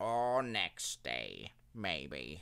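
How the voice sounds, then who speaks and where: A man puts on a character voice, pitched very deep and low. His pitch swings very widely. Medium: read story. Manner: placid, unhurried.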